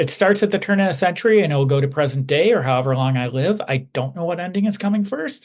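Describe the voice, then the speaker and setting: A man's somewhat breathy voice races along at a very fast pace, its pitch varying in an ordinary way. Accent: American. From Chicago, North Side. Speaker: comic book illustrator. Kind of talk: podcast interview.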